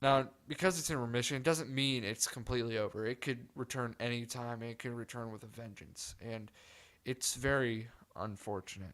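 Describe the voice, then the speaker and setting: Recorded very cleanly with a silent background, a man speaks at a moderate pace and medium pitch with ordinary pitch variation. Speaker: podcast host. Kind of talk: solo podcast monologue. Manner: subdued, softer than usual.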